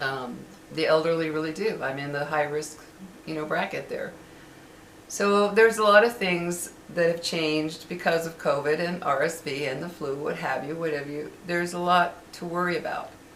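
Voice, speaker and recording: A woman with a fairly low pitch speaks at a moderate pace with ordinary pitch variation. Noticeable background noise and audible room echo come through. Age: 60s. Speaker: vlogger. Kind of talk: casual monologue. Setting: at home. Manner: hesitant, many fillers.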